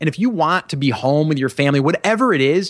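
A man with a plain, everyday voice talks at a fairly high pitch and fairly quick pace, his intonation lively. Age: 40s. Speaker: podcast host and e-commerce entrepreneur. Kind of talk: interview. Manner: many filler words.

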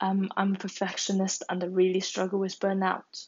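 With a Chinese accent, a woman talks at a fairly slow pace. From China. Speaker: podcaster and university student. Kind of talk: solo monologue podcast. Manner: casual, with hesitations.

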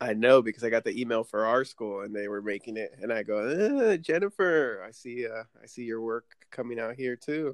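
Using a normal speaking voice, a man speaks at a medium pitch with ordinary pitch variation. His pace is moderate, with hardly any pauses. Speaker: podcast host. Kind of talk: casual interview chat. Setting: remote recording via app.

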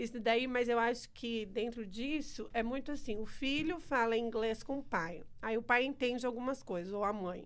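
A woman with an unremarkable speaking voice, fairly high in pitch, ordinary pitch variation, a moderate pace and hardly any pauses. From Brazil, small town. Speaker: church member. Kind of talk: casual chat. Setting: studio.

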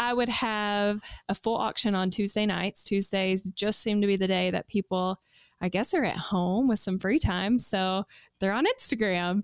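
On a very clean recording with a silent background and a dry, close sound with no echo, a woman speaks with a Kentucky accent at medium pitch and a moderate pace. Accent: Southern US (Kentucky). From US South, South Central Kentucky. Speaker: secondhand clothing seller. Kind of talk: casual interview.

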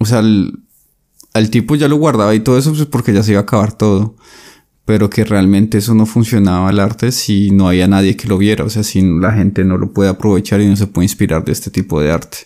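At a fairly quick pace, a man speaks with a dark, mellow tone and a fairly low pitch. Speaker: podcast co-host discussing philosophy books. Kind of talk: casual discussion.

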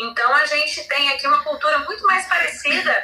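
At a moderate pace, a woman's raised, projected voice has a bright, sharp tone and lively intonation. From Rondônia, Brazil (born São Paulo). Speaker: journalist. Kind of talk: casual chat.

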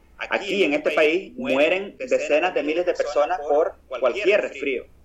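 Background noise is noticeable throughout. The talking keeps a moderate pace. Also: man. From Nicaragua. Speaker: war veteran and activist. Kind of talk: interview.

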